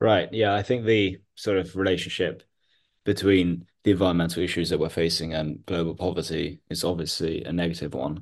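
The background is quiet. A man with a very deep, low pitch speaks at a fairly quick pace. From India, Mumbai. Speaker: podcast host. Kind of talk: interview.

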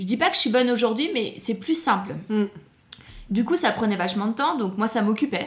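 Over noticeable background noise, a woman talks at a fairly quick pace in an animated tone. Her voice is fairly high, with lively intonation. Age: 40s. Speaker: food entrepreneur and author. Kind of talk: interview.

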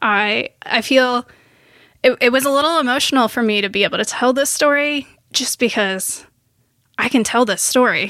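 Speaking at a moderate pace with ordinary pitch variation, a woman with an American accent uses a high pitch on a very clean recording with a silent background. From Wisconsin, small town. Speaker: biologist. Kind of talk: personal testimony in casual interview. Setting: home recording.

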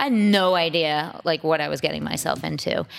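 In a very clean recording with a silent background, a woman with an American accent and an unremarkable speaking voice talks at a fairly low pitch with ordinary pitch variation. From Massachusetts, Boston suburbs. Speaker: fitness coach and masters athlete. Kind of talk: interview.

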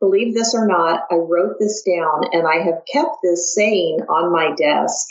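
Using a Midwestern American accent, a woman talks at a fairly slow pace with medium pitch and lively intonation. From US Midwest. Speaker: podcast host, clinical services director. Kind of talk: interview.

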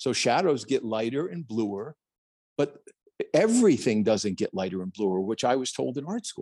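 A man with a New Jersey accent talks at a medium pitch. His intonation is lively and his tone animated. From New Jersey, US. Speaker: plein air painter. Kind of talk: interview conversation. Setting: video call. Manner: animated, talks with hands.

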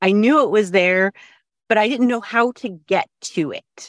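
A woman with a plain, everyday voice and lively intonation at a fairly slow pace, dry and close with no echo, in a very clean recording with a silent background. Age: 40s. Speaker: course participant, home cook. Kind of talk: casual interview.

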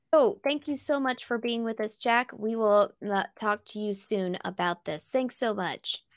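An ordinary speaking voice: a woman with a fairly high pitch and ordinary pitch variation, fairly slow pace, dry, close sound with no echo, very clean recording, silent background. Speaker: podcast co-host. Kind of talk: interview.

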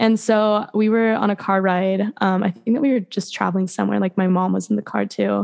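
A woman with a normal speaking voice and an American accent talks at a fairly quick pace with hardly any pauses, medium in pitch and fairly even in intonation. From West Virginia, Beckley. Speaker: country rock singer-songwriter. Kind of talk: casual interview. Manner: fast, filler-heavy (like, um).

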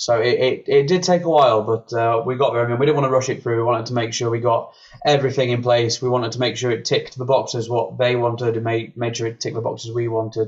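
A man speaks at a very fast pace with hardly any pauses and fairly even intonation. His voice is somewhat breathy and sits at a medium pitch. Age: 20s. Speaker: brass musician. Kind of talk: interview. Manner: halting.

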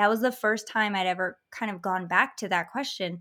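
Speaking at a fairly quick pace, a woman with an American accent has a fairly high pitch and a bright, sharp tone on a very clean recording with a silent background. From Michigan, US. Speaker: hypnotherapist. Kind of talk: casual interview chat.

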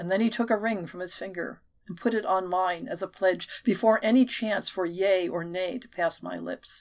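Ordinary shifts in pitch, reading aloud in a natural voice

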